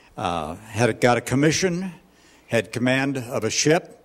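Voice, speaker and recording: An ordinary speaking voice from a man, medium in pitch, at a fairly slow pace. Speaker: ministry leader. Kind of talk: speaker introduction.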